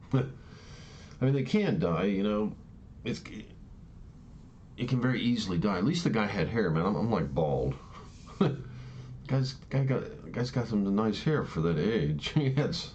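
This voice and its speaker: Vocal fry from a man at a moderate pace, with very wide pitch swings, long and frequent pauses, and audible room echo. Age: 60s. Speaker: vlogger sharing personal views. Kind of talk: casual monologue. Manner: halting, many false starts.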